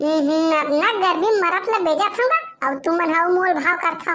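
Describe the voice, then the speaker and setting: A woman uses a cartoonish character voice at an extremely high pitch. She keeps a moderate pace with ordinary pitch variation. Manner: chatty, teasing.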